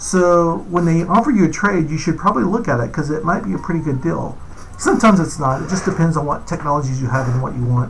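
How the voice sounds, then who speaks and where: Audible room echo and noticeable background noise surround a man whose voice sits fairly high. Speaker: game developer. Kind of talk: gameplay tutorial. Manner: fast; casual, with fillers.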